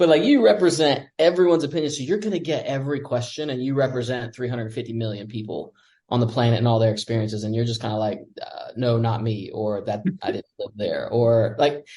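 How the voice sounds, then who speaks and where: Speaking in an American accent, a man moves at a fairly quick pace with lively intonation and a dark, mellow, somewhat breathy tone. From United States. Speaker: expat podcast guest. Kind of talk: casual chat.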